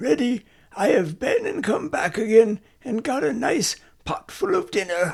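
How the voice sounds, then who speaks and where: A raspy put-on character voice with fairly high pitch, very wide pitch swings and a moderate pace. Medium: read story. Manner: bright, cheeky.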